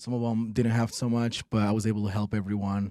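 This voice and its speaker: Speaking very fast, a man has a dark, mellow tone. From Peru. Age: 40s. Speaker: real estate investor and coach. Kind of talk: interview.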